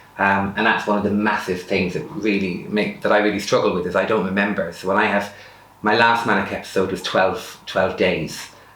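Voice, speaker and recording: A man with an Irish accent, fairly low pitch, fairly quick pace and fairly even intonation, with audible room echo. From rural Ireland. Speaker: person sharing lived experience of bipolar. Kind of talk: personal testimony interview. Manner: fast.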